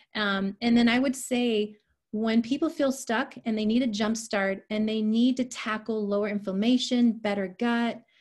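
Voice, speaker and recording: Somewhat breathy and fairly high-pitched, a woman talks at a moderate pace with fairly even intonation over a quiet background. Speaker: health and nutrition coach. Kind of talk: online presentation.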